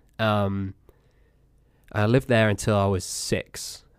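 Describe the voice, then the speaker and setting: A man with an American accent speaks at a fairly low pitch and with fairly even intonation. The recording is very clean, with a silent background. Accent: English, fading slightly from US exposure. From England. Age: 20s. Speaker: podcast host. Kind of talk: casual chat.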